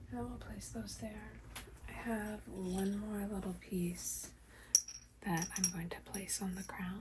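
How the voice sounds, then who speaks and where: A soft-spoken woman talks at a very slow pace. There is noticeable background noise. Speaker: reiki practitioner. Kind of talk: ASMR reiki session.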